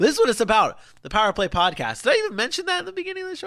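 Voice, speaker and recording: A man talks in an animated tone. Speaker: sports podcast host. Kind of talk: casual solo podcast talk. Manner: fast.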